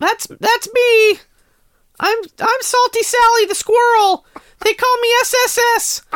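Loud and very slow, a woman puts on a character voice at an extremely high pitch. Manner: loud, cartoonish, boastful.

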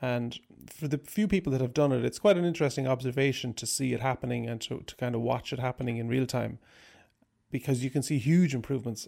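With an Irish accent, a man talks at a fairly quick pace in a medium-pitched, dark, mellow tone with ordinary pitch variation. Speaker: banjo player and music teacher. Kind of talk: interview.

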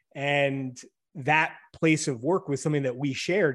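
Against a quiet background, a man with an ordinary speaking voice talks at a moderate pace, his fairly high pitch held in fairly even intonation. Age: 40s. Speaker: sports journalist. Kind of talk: casual chat.

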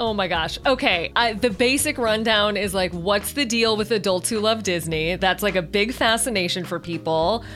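With music in the background, a woman with an American accent talks at a moderate pace and medium pitch, with ordinary pitch variation and hardly any pauses. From Chicago, US Midwest. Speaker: Disney podcaster and writer. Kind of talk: casual chat. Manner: animated.

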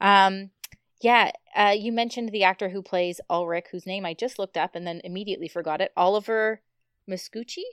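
An ordinary speaking voice with fairly even intonation at a fairly quick pace, in a dry, close sound with no echo. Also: woman, medium pitch for a woman. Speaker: foreign correspondent, guest. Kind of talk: casual podcast chat.

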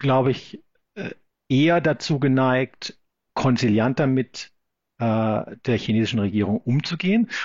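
This man talks in a medium-pitched voice, and his pitch varies in an ordinary way. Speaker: law professor. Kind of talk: interview. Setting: remote call from Sydney. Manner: halting, many fillers.

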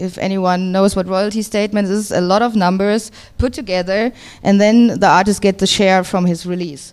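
A woman with a German accent speaks at a medium pitch and moderate pace, her intonation fairly even. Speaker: record label co-founder and DJ. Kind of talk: interview.

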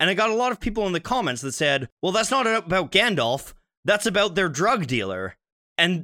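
High-pitched and bright with a sharp tone, a man projects a raised voice at a moderate pace, his pitch swinging very widely. The sound is dry and close with no echo, on a very clean recording with a silent background. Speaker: podcast host and music YouTuber. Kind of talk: casual chat.

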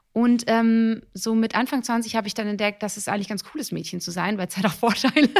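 With an animated tone and a fairly high pitch, a woman talks at a fairly quick pace with hardly any pauses, on a very clean recording with a silent background. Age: 30s. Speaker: actress and TV presenter. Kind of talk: casual interview.

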